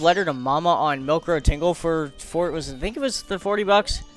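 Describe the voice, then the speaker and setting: Over music in the background, a man talks at a fairly quick pace in an enthusiastic tone and a high pitch. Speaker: speedrun race commentator. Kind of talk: live esports-style race commentary. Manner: casual, enthusiastic, with frequent filler words.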